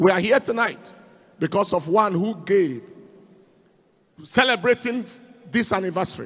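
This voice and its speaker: A man against a quiet background. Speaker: pastor leading the offering. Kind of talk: sermon. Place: church. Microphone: handheld.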